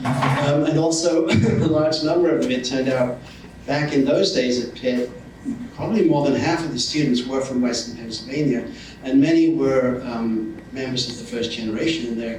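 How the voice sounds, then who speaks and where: Speaking at a moderate pace and medium pitch, a man with an English accent shows ordinary pitch variation. Audible room echo and noticeable background noise are present. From northern England. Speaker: professor. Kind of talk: public speech. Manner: halting, with many fillers.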